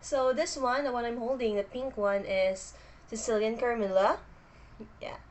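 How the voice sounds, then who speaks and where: A woman speaks with a Filipino accent at a moderate pace. She leaves long, frequent pauses. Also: fairly high pitch for a woman, ordinary pitch variation. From Philippines. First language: Filipino language. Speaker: booktuber. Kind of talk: casual vlog introduction. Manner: hesitant, with fillers.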